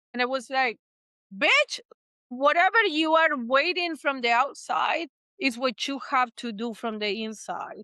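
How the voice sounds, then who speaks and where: A woman with an Argentine accent uses a raised, projected voice, high and bright, sharp in tone, at a fairly slow pace. Her pitch swings very widely, and the sound is dry and close with no echo. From Argentina, Buenos Aires. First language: Spanish. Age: 60s. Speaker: therapist. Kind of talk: podcast interview. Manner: animated.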